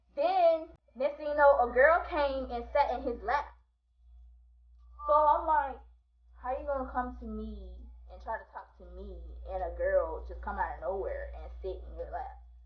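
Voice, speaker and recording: Moderate pace with big swings in loudness and long, frequent pauses, all in audible room echo. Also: woman. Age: 20s. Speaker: vlogger. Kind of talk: storytime monologue. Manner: animated.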